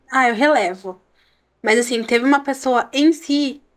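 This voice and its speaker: Speaking at a fairly slow pace, a woman uses a high pitch with ordinary variation. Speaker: social media influencer. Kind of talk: casual interview chat.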